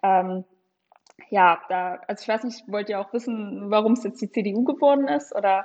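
Here a woman with an unremarkable speaking voice talks at a moderate pace and medium pitch, with ordinary pitch variation. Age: 20s. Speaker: young party politician and legal staffer. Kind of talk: political interview.

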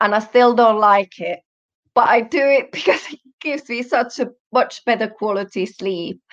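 This woman talks with a Finnish accent. Her pitch sits fairly high. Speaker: personal trainer. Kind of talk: interview.

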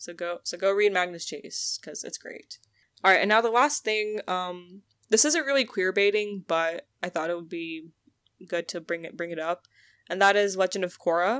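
A woman with a plain, everyday voice on a very clean recording with a silent background. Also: medium pitch for a woman, ordinary pitch variation, moderate pace, big swings in loudness. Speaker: podcast host. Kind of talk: casual chat.

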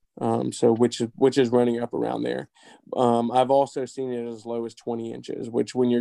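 A man with a dark, mellow tone speaks at medium pitch in a monotone, flat delivery, with a dry, close sound and no echo. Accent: American. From Florida. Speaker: industrial refrigeration mechanic. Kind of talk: technical interview. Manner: halting.

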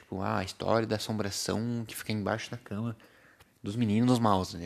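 A man with a fairly low pitch at a fairly quick pace. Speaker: podcast host. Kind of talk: casual solo monologue. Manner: animated.

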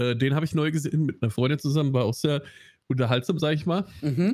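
A man with a slight Hessian accent speaks at a very fast pace in a fairly high pitch, his loudness very even. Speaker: film podcast co-host. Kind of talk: casual chat.

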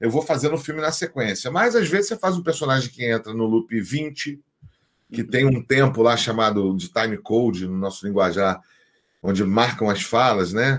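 Here is a man with a plain, everyday voice at medium pitch. He speaks at a moderate pace with lively intonation. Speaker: voice actor. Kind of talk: casual chat.

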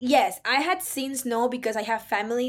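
Speaking in a Spanish accent, a woman talks at a fairly quick pace in an animated tone. Her pitch is fairly high. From Ecuador. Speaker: recent college graduate and business consultant. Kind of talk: casual interview. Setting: remote call.

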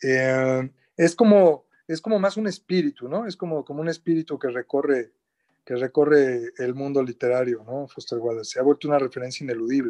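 Against a quiet background, a man with a Mexico City accent talks at a fairly quick pace in a fairly high, dark, mellow voice with ordinary pitch variation and a dry, close sound with no echo. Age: 50s. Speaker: writer, editor and translator. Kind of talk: radio interview.

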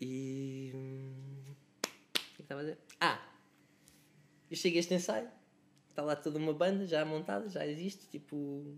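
Long, frequent pauses in a man's moderately paced, fairly high-pitched speech with normal pitch movement. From Lisbon area, Portugal (Cascais–Oeiras line). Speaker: musician. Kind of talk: casual chat.

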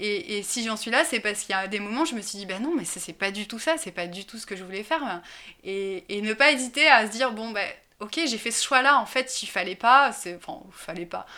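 A woman talks at a fairly quick pace in a bright, sharp tone with a fairly high pitch and big swings in loudness. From France, Drôme provençale (rural southeast). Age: 20s. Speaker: senior local civil servant. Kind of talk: interview. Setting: at her home. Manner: hesitant, many fillers and repetitions.

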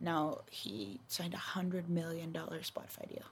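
A woman with an American accent speaks at a moderate pace with fairly even intonation, in a very clean recording with a silent background. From Texas. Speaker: podcast host. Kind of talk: casual chat.

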